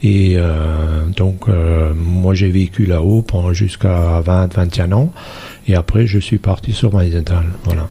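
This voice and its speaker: A man's very deep, low voice, dark and mellow, somewhat breathy, at a very slow pace with very even loudness and fairly even intonation. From Alsace, near Saverne, farm upbringing. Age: 60s. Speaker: village mayor. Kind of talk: radio interview. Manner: hesitant, many fillers.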